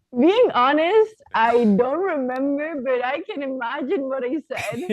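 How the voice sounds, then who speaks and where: With a Spanish accent, a woman speaks at a high pitch and a fairly slow pace, her intonation lively. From southern Spain. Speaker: professional volleyball player. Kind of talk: podcast interview.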